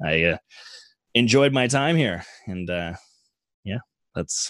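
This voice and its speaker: Very wide pitch swings mark this man's fairly low voice, delivered at a fairly slow pace with long, frequent pauses. The sound is dry and close with no echo, against a quiet background. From Canada. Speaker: Twitch streamer. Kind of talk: casual chat.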